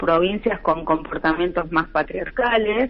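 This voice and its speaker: A woman speaks at a fairly slow pace in a normal speaking voice. Her pitch is medium, with ordinary variation. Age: 60s. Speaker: lawyer and human rights activist. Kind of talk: radio interview. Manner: many fillers (eh, este).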